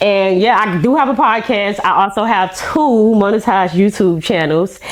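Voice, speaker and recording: Speaking with an American accent, a woman holds a medium pitch with ordinary pitch variation and very even loudness. She talks at a moderate pace over noticeable background noise. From Miami, Florida (Miami-Dade, Liberty City area). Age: 30s. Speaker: social media influencer. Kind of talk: podcast interview.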